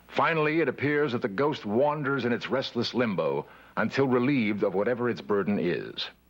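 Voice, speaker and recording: Music plays in the background. A man speaks with ordinary pitch variation. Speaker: documentary narrator. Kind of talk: documentary narration. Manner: calm.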